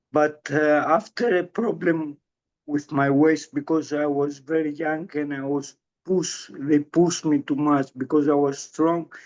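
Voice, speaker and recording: A man speaks with a Greek accent at a fairly slow pace. His fairly high voice keeps a fairly even intonation. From Greece. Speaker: strength coach for Parkinson's patients. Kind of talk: interview. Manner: halting.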